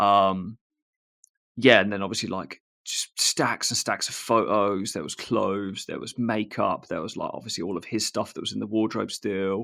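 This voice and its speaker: A bright, sharp tone with fairly even intonation at a moderate pace. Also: man, fairly low pitch for a man. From England, Northamptonshire. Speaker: tradesman and social media creator, former pro BMX rider. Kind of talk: casual podcast chat. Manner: casual, many fillers.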